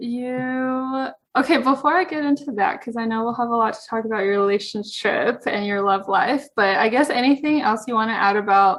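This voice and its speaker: This woman has a high voice and lively intonation. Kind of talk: podcast host conversation.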